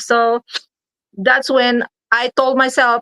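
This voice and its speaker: Her tone is bright and sharp, and this woman's pitch is high. The sound is dry and close, with no echo. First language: not English. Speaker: online business promoter. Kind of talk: livestream sales pitch. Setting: live stream.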